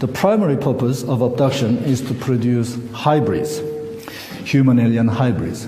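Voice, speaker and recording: In a Korean accent, a man speaks at a fairly slow pace with ordinary pitch variation. Noticeable background noise and audible room echo fill the recording. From South Korea. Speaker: academic researcher and conference speaker. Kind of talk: conference presentation read from script. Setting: conference hall with audience. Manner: halting, with many fillers.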